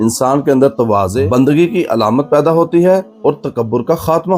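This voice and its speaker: Music plays behind a man speaking. His pitch is fairly high and his intonation lively. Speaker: Islamic preacher. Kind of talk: religious sermon (bayan).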